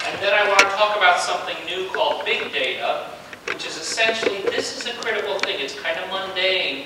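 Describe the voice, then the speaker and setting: Fairly quick speech with noticeable background noise and strong room echo. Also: man. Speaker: lecturer. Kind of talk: lecture. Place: hall.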